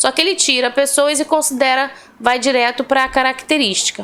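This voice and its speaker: The voice belongs to a woman with a high pitch. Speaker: Portuguese language teacher. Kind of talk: online lesson. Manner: slow and deliberate.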